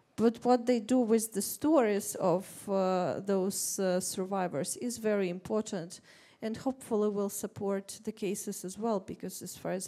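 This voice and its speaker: A woman with a Russian accent speaks at a fairly slow pace, her medium-pitched voice dark and mellow in tone, with ordinary pitch variation. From Ukraine. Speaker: writer on a panel. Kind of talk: panel discussion. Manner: halting.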